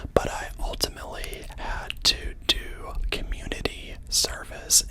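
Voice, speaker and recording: Someone whispers against noticeable background noise. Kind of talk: ASMR storytime, casual personal story. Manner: soft-spoken; chatty, rambling.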